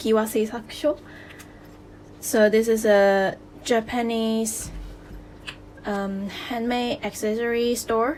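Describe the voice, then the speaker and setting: A woman with a non-native accent speaks at a fairly high pitch. Her pace is very slow, with long, frequent pauses. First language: non-native English speaker. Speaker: DIY accessory maker. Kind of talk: DIY tutorial talk to camera.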